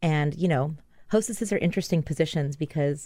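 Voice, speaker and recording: A woman with a very deep, low pitch and a dark, mellow tone talks at a very fast pace with ordinary pitch variation, in a very clean recording with a silent background. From Hawaii (Maui). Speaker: bakery owner and pastry chef. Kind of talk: casual chat.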